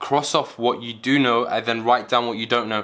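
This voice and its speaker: A man's bright, sharp tone at a very fast pace, with monotone, flat intonation. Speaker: medical student giving exam advice. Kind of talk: tutorial. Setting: at home.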